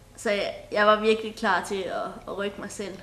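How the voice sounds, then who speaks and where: A woman talks at a fairly slow pace, with audible room echo around her voice. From Denmark, Sønderborg, Southern Jutland. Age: 20s. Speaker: folk high school sailing student. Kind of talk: interview.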